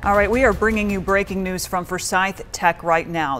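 Over music in the background, a woman with an American accent speaks at a moderate pace. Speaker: TV news anchor and reporter. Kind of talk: local TV newscast anchor delivery. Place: studio. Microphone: lapel.

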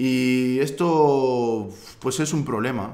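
A man speaks with ordinary pitch variation. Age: 20s. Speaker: tech YouTuber; youtuber. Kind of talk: personal vlog monologue. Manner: halting, many fillers. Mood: personal, candid story. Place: home room.

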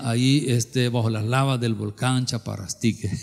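Over a quiet background, a man with a medium pitch talks at a moderate pace. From El Salvador. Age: 60s. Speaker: pastor. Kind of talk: sermon. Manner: animated. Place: church. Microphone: handheld.

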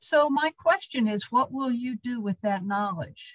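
The delivery is very slow and somewhat breathy, with lively intonation. The sound is dry with no echo, over a quiet background. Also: woman. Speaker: activist, donor; speaker. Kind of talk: fundraising appeal. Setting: video call. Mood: earnest, urging. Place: home room. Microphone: video call.

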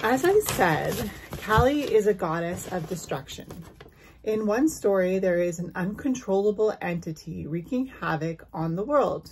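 A woman talks at a fairly slow pace. There is light background noise. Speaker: spiritual content creator. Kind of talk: storytelling vlog. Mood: calm, dramatic storytelling. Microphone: phone near.

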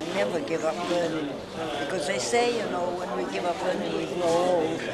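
A woman talks at a moderate pace with an American accent. Loud background noise runs behind her. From Maine, United States. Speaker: honored graduate. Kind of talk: interview answer. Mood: warm, advising. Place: hall.

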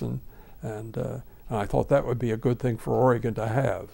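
Vocal fry marks this man's dark, mellow tone, which has ordinary pitch variation. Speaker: former state senator. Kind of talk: interview answer. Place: home room.

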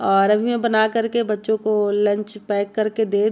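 The woman's intonation stays monotone and flat. Her pace is fairly slow. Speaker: home cook vlogger. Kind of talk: casual vlog chat. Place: kitchen. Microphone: phone near.

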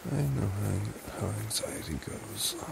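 Soft-spoken, a man talks through loud background noise in a dry sound with no echo. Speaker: ASMR roleplay creator. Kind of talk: boyfriend comfort roleplay. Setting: home recording, low-quality mic. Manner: soft-spoken, slow.

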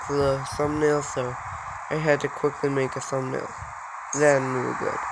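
A man speaks at a fairly high pitch in a flat monotone. Noticeable noise sits in the background. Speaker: gaming YouTuber. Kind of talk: gameplay commentary. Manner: casual, chatty.

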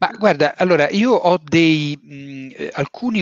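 This man's fairly high voice swings very widely in pitch. The sound is dry with no echo, and the background is quiet. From Rome, Italy; Italy. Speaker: novelist. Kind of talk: book talk interview. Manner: halting. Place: home room. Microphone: headset.

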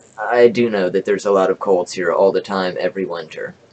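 There is light background noise behind this recording. A man speaks at a fairly quick pace. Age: 20s. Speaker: YouTuber sharing home remedy; home vlogger. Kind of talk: reading from notes to camera. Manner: halting. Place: home room. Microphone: webcam.

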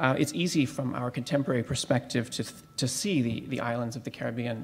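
A man's somewhat breathy, medium-pitched voice moves at a fairly quick pace. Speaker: academic historian. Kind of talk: academic conference talk. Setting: symposium with audience. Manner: hesitant, many fillers.

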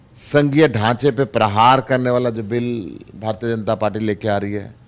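This man has a plain, everyday voice, speaking at a fairly slow pace and a medium pitch for a man with fairly even intonation. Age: 60s. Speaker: politician, member of parliament; politician. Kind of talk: interview. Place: office. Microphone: handheld.

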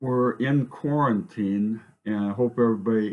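The pace is very slow as a man talks, his pitch varying in an ordinary way. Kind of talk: casual vlog chat. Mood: relaxed, cheerful. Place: home room. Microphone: headset.

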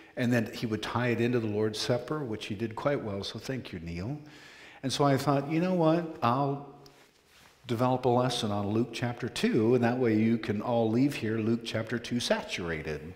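A man talks at a medium speed, his pitch varying normally, with echo from the room audible. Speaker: preaching minister. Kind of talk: sermon. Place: church.

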